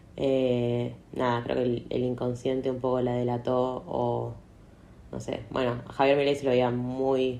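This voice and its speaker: Amid noticeable background noise and audible room echo, a woman with a very deep, low pitch speaks at a fairly slow pace in monotone, flat intonation. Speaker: podcaster. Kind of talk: casual monologue.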